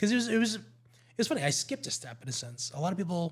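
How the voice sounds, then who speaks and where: A man with a Canadian accent sounds somewhat breathy, his intonation lively. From Ontario, Canada (Markham). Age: 40s. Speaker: local politician. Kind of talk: podcast interview.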